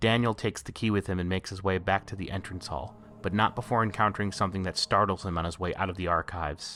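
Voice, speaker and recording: A man talks at a very fast pace. His pitch is very deep and low, with fairly even intonation. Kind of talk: video essay narration. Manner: some stuttering and pauses.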